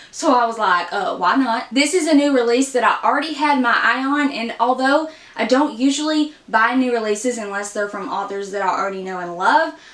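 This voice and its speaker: Through noticeable background noise, a woman with a high pitch talks at a fairly quick pace with hardly any pauses. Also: lively intonation. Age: 20s. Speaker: book vlogger. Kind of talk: casual vlog.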